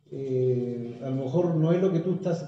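There is audible room echo as a man speaks with a Chilean accent. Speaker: talk guest. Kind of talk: casual conversational talk on spirituality. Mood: calm, reflective. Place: home room. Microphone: phone near.

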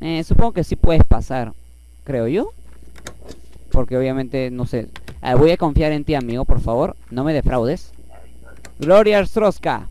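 With lively intonation and a moderate pace, the speaker leaves long, frequent pauses in a dry recording with no echo and light background noise. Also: man. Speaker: gaming YouTuber; gamer. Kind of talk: let's play commentary. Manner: animated. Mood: playful, joking. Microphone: headset.

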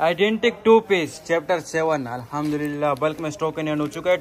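A man talks with ordinary pitch variation. Light background noise sits behind him. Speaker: cloth seller. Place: shop. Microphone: phone near.

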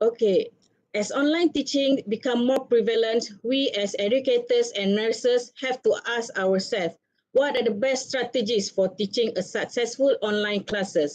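Pitched high, a woman speaks at a fairly slow pace. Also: ordinary pitch variation. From Malaysia. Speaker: webinar moderator and nursing academic; webinar moderator. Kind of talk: moderating a webinar. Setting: video call. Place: office. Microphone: webcam.

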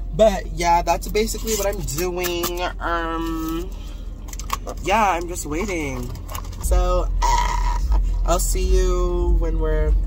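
Speech comes at a very slow pace, broken by long, frequent pauses. The sound is dry with no echo, and music plays clearly in the background. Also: woman. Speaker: vlogger. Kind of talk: casual vlog chat. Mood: relaxed, playful. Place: car. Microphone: phone near.

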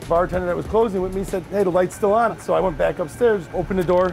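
Faint music plays in the background as a man talks in a high pitch. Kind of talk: interview answer. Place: kitchen. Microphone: lapel.

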